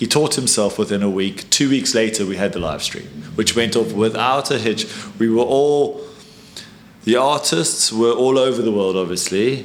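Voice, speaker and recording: Noticeable background noise sits behind a man's medium-pitched voice. He speaks at a moderate pace with ordinary pitch variation. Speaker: art gallery co-founder. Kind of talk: casual interview chat.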